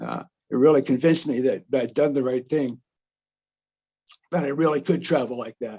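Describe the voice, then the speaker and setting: With a New Jersey accent, a man talks at a fairly quick pace with long, frequent pauses, a fairly high pitch, fairly even intonation and a dark, mellow tone. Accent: New Jersey American. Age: 70s. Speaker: retired journalist and traveler. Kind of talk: presentation. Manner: halting, many fillers and restarts.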